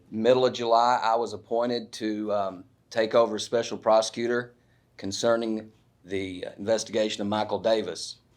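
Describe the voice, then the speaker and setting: A man's monotone, flat delivery at a moderate pace against a quiet background. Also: medium pitch for a man. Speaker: prosecuting attorney. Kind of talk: reading aloud an affidavit; news conference statement. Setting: press conference at courthouse.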